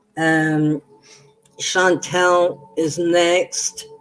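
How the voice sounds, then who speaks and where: A woman talks in a monotone, flat intonation at a fairly low pitch. Music plays in the background. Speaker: tarot reader. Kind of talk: live stream reading. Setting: live stream. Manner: halting.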